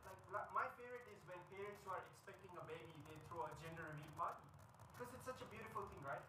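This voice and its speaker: A man with a high voice speaks very fast in a raised, projected voice, with ordinary pitch variation. Audible room echo and noticeable background noise surround him. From India (Mumbai); India. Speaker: stand-up comedian. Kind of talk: stand-up. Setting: stage with audience at a corporate event. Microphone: poor quality audio recording; camera far.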